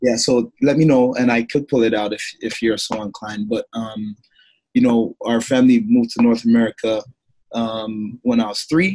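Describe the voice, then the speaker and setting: In a slight Jamaican accent, a man speaks at medium pitch and a moderate pace with fairly even intonation and a dark, mellow tone, in a dry, close sound with no echo. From Toronto, Canada. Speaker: former pro football player and speaker. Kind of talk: interview. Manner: many fillers and repetitions.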